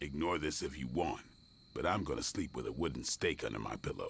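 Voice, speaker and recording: Growling in a put-on character voice, a man speaks at a fairly quick pace with a very deep, low pitch over clear background noise. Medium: video game. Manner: blunt, gruff, suspicious.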